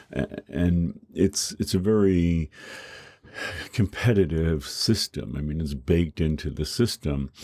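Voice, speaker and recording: Dry and close with no echo, a man's very deep, low voice has a dark, mellow tone, ordinary pitch variation and a fairly slow pace. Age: 60s. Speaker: professor. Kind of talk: lecture. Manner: halting, many repetitions and fillers.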